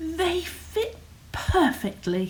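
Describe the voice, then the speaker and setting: Someone performs a put-on character voice over clear background noise. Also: woman, extremely high pitch for a woman. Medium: read story.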